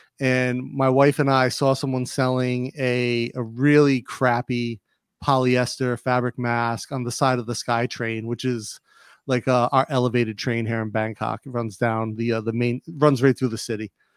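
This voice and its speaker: On a very clean recording with a silent background and a dry, close sound with no echo, a man talks at a moderate pace and medium pitch with monotone, flat intonation. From Rhode Island. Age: 40s. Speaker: clothing entrepreneur and YouTuber. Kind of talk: casual interview.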